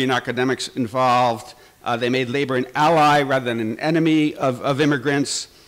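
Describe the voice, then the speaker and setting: Delivered at a moderate pace, an unremarkable speaking voice keeps fairly even intonation. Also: man. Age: 60s. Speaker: labor journalist. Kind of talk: conference speech.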